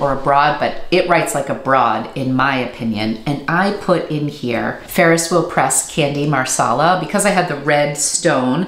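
Against audible room echo, a woman with a very deep, low pitch speaks at a moderate pace with ordinary pitch variation. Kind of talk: casual vlog chat. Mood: enthusiastic, pleased. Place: home room.

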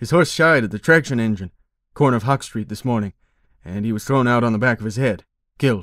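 On a very clean recording with a silent background, a man at a medium pitch speaks with lively intonation. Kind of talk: audiobook narration reading a short story aloud. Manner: measured, expressive storyteller pacing.

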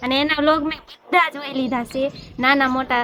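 A woman speaks in a high voice with fairly even intonation. Noticeable background noise runs behind her. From Gujarat, Bhavnagar. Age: 20s. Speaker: vlogger. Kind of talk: Q&A vlog chat.

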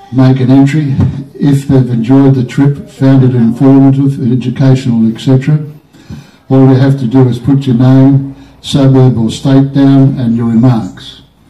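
A man's fairly slow, monotone delivery with flat intonation and audible room echo. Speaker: guide. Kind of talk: tour guide announcement. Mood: friendly, joking. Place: station. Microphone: pa.

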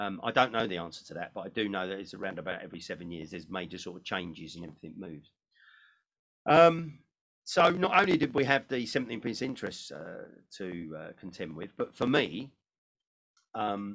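A man speaks at a fairly low pitch and a fairly quick pace, with very wide pitch swings and big swings in loudness. The background is quiet. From United Kingdom. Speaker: motivational speaker. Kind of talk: seminar talk. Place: home room.

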